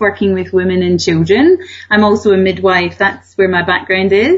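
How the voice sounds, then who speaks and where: With noticeable background noise behind her, a woman speaks at a medium pitch in a Scottish accent. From Scotland, Glasgow. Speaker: author and wellbeing coach. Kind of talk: radio interview.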